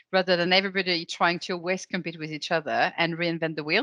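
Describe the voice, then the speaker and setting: A woman speaks with a bright, sharp tone at a fairly low pitch. The sound is dry and close with no echo, over a quiet background. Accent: French. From France. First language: French. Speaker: legal operations consultant. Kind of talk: interview.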